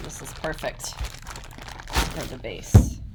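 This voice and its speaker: A woman's voice carries audible room echo, with noticeable background noise behind it. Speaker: ceramics teacher. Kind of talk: tutorial.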